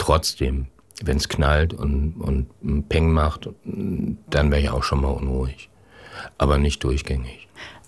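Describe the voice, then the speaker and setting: Against noticeable background noise, a man with a very deep, low pitch talks very slowly in a monotone, flat intonation. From northern Germany, Schleswig-Holstein. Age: 60s. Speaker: corporate communications head. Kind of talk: interview.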